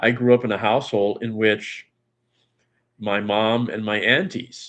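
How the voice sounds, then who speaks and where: Fairly slow and fairly even in intonation, a man speaks in a medium-pitched voice. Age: 60s. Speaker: guest in call-in show. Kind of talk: casual chat. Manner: halting.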